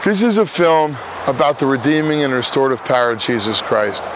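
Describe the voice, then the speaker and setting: This man has a fairly high pitch, lively intonation and an American accent. The sound is dry with no echo, though noticeable background noise is present. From New Jersey. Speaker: recovering addict and former prisoner. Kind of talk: fundraising appeal to camera. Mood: earnest, heartfelt. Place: open country.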